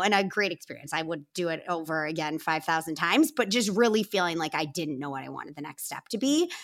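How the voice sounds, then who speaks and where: The delivery moves at a fairly quick pace with lively intonation. Its tone is bright and sharp. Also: woman, very clean recording, silent background. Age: 30s. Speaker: company co-founder and president. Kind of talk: interview.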